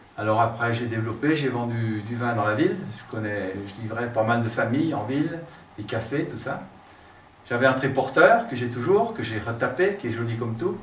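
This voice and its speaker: At a moderate pace, a man of medium pitch talks with ordinary pitch variation and big swings in loudness. Audible room echo and noticeable background noise fill the recording. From France, Burgundy (Saône-et-Loire). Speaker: local politician and businessman. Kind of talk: interview. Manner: hesitant with many fillers.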